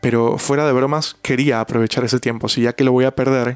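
Here a man talks at a fairly quick pace. The sound is dry and close, with no echo. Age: 20s. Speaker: podcast host and interpreter. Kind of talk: solo podcast monologue. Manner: halting.

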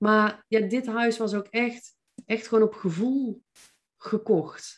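This voice belongs to a woman. She speaks with monotone, flat intonation. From North Brabant, Netherlands (Veldhoven). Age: 40s. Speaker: mindset coach and entrepreneur. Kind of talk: podcast interview.

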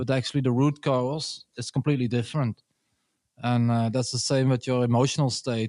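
Over a quiet background, a man's medium-pitched voice comes through dry and close with no echo, monotone and flat at a moderate pace. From Belgium. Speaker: performance tester, conference speaker. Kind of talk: casual chat.

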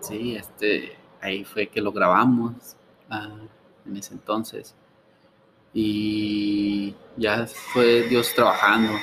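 A man speaks very slowly in a fairly low, flat monotone, with long pauses coming often. Noticeable background noise runs underneath. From Mexico, Ciudad Juárez. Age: 20s. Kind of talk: interview. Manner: halting.

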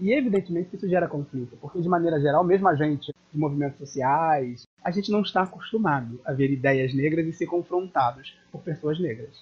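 A man with an ordinary speaking voice and a fairly high pitch talks with ordinary pitch variation and hardly any pauses. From Niterói, Rio de Janeiro state, Brazil. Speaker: theatre activist and journalist. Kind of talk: interview.

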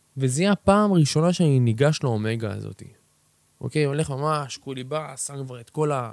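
A man's fairly high voice at a fairly quick pace, with ordinary pitch variation and big swings in loudness. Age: 20s. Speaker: podcast host and personal development mentor. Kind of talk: motivational solo talk. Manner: energetic.

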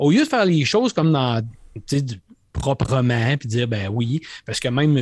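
With a Quebec accent, the voice moves at a fairly slow pace with ordinary pitch variation, captured dry and close without echo on a very clean recording with a silent background. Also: man. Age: 50s. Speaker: gaming podcast host. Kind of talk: casual chat.

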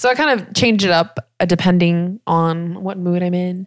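An ordinary speaking voice with an American accent and fairly even intonation comes through on a very clean recording with a silent background. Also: woman. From US South Carolina. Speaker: podcast host. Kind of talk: casual chat.

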